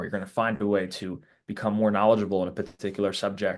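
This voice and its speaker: An unremarkable speaking voice from a man with an American accent, medium in pitch, at a fairly quick pace over a quiet background. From New Jersey. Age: 20s. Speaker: sports content creator. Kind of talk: podcast interview.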